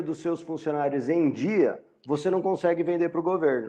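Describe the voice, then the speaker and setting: This man's pitch is high, and his tone is dark and mellow. Behind him the background is quiet. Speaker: university lecturer. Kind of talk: lecture. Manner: halting.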